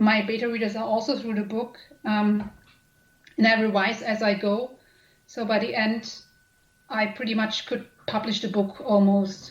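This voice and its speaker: A woman with a German accent, fairly high in pitch, monotone and flat, with long, frequent pauses. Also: moderate pace. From Germany. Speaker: author and editor. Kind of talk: interview.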